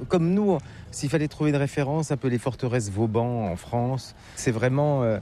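A man's medium-pitched voice, dark and mellow, at a moderate pace with ordinary pitch variation.

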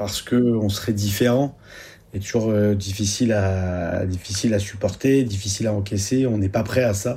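At a moderate pace, a man speaks in a fairly low pitch with a dark, mellow tone and fairly even intonation.

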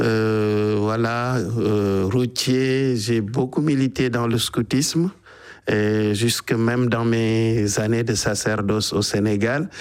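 With few pauses, a man speaks slowly in a fairly low pitch and fairly even intonation.

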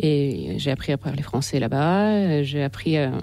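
With a dark, mellow tone and low pitch, a woman speaks at a moderate pace with lively intonation.

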